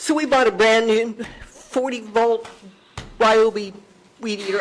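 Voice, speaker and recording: A woman talks with ordinary pitch variation while background noise remains clearly audible. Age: 70s. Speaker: business owner speaking at public meeting. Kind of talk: public comment at county meeting.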